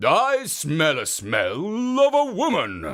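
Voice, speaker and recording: A man's put-on character voice, extremely high in pitch, at a very slow pace. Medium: read story.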